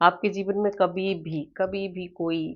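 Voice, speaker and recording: Speaking at a very slow pace, a woman holds a fairly low pitch with monotone, flat intonation. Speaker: tarot reader. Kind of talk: spiritual tarot reading.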